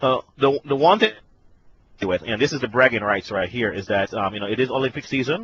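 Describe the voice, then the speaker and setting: A man with a medium pitch talks at a fairly quick pace, his intonation lively. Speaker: tech conference speaker. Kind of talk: webinar presentation. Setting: online conference call. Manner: fast; halting, many fillers.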